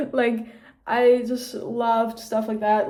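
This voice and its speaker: Very slowly, a woman speaks in a flat monotone, her fairly high voice dark and mellow, with audible room echo. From Austria. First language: German. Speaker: vlogger. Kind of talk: casual chat. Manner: casual, filler-heavy.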